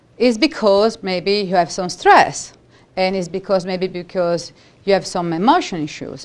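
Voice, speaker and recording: At a fairly slow pace, a woman with an Italian accent talks at a medium pitch with ordinary pitch variation. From Italy. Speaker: holistic practitioner and educator. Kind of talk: seminar talk.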